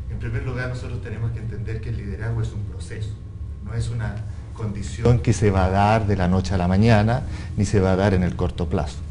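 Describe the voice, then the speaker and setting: A man's very deep, low voice with very wide pitch swings and a fairly quick pace, amid audible room echo and noticeable background noise. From Chile. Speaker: international business development consultant. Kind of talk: panel discussion.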